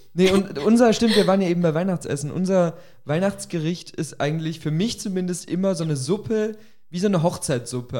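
The speaker's voice has ordinary pitch variation. Music sits in the background. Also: man. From Augsburg, Germany. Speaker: podcast co-host. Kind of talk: casual chat. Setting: kitchen recording.

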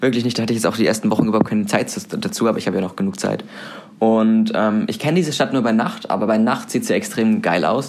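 Audible room echo surrounds this man's voice. Noticeable background noise can also be heard. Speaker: student radio host. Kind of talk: casual chat. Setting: student room.

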